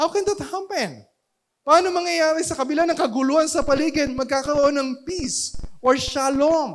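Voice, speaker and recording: A loud voice at a moderate pace. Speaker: pastor. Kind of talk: sermon. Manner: halting.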